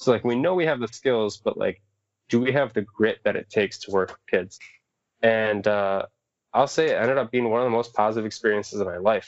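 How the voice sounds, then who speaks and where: A man talks in a normal speaking voice at a fairly quick pace. His pitch is medium, with ordinary variation. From Southwest Michigan. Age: 20s. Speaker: outdoor educator and raft guide. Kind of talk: casual chat.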